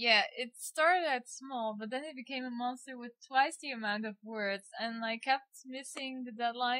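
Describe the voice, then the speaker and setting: A woman with a Dutch accent speaks in a high voice with ordinary pitch variation and big swings in loudness. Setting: poor quality microphone.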